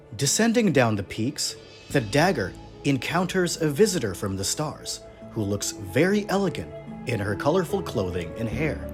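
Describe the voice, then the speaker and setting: Over music in the background, a man speaks at a moderate pace and medium pitch with very wide pitch swings. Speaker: narrator. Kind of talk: folktale narration.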